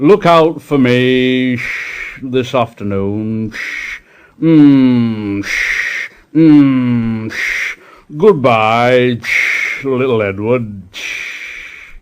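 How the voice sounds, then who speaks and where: In a put-on character voice, a man speaks at a very slow pace and a medium pitch. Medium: read story. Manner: pompous.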